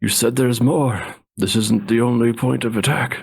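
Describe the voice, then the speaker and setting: Putting on a raspy character voice, a man speaks at medium pitch and a moderate pace. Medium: actual play.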